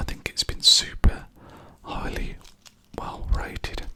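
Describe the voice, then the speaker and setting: A man whispering with a British accent at a fairly slow pace, with noticeable background noise. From England. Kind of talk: ASMR whisper ramble. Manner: whispered, soft-spoken.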